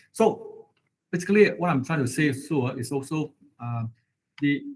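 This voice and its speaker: A somewhat breathy male voice, fairly high in pitch, at a moderate pace with ordinary pitch variation. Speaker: university lecturer. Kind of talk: online lecture. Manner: halting, many fillers.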